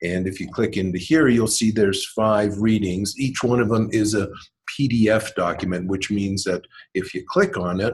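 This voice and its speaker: With a Canadian accent, a man speaks at a moderate pace in a somewhat breathy voice with a fairly low pitch. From Canada. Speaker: MBA instructor. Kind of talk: online lecture walkthrough. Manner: hesitant, many ums.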